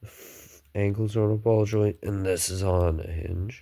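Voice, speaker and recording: A man talks with a dark, mellow tone and monotone, flat intonation. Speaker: hobbyist builder. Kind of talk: casual show-and-tell. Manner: halting.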